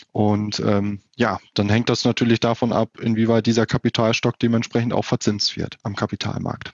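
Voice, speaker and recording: A man's medium-pitched voice, flat and monotone, at a moderate pace with hardly any pauses. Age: 30s. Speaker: wealth advisor. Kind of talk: interview. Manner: hesitant with filler sounds.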